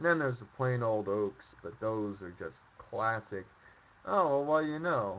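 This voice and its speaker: Quietly and at a fairly slow pace, a man of medium pitch speaks with lively intonation. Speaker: streamer. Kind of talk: casual gameplay commentary. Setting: home microphone.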